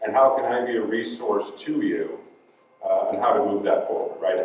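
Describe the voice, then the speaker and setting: Noticeable background noise and audible room echo surround the voice. A man talks at a fairly quick pace. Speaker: recruiter and speaker. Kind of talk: conference talk.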